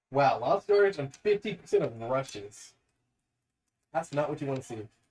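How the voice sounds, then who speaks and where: A somewhat breathy man talks at a fairly high pitch. His pace is moderate and his intonation lively. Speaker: streamer reacting to football game. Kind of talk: live game reaction chat. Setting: live stream.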